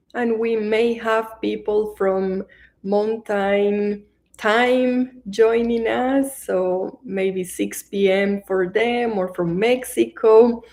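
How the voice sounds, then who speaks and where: A woman with a Colombian accent, fairly high pitch, ordinary pitch variation and a very slow pace. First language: Spanish. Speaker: meditation teacher. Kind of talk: live-stream introduction before guided meditation. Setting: online livestream.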